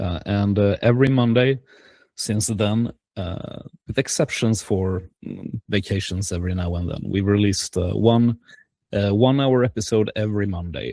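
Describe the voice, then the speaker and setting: Dark and mellow in tone, a man's fairly low voice carries a Swedish accent, ordinary pitch variation and a moderate pace. The sound is dry and close with no echo, on a very clean recording with a silent background. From Sweden, Gothenburg. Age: 40s. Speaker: podcaster and game designer. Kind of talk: presentation. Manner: halting, many fillers.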